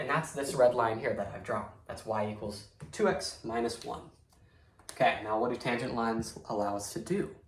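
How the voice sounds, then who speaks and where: The voice has lively intonation, heard with audible room echo. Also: man, medium pitch for a man. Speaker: math teacher. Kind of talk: lecture. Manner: fast; casual, filler words.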